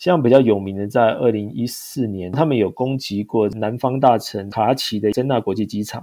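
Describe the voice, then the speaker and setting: A man speaks at a moderate pace with a dark, mellow tone. His pitch is medium, with ordinary variation. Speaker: overseas sales manager. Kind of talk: interview.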